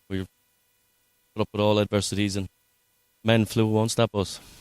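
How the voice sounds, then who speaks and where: His speech moves fairly quickly. The intonation stays monotone and flat throughout. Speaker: darts team founder and player. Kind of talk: interview. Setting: darts tournament venue.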